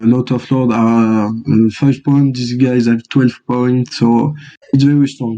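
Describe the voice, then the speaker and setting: Here a man speaks with a French accent at a medium pitch. His tone is dark and mellow, and his intonation is monotone and flat. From France. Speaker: board game champion. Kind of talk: interview. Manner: halting, many fillers.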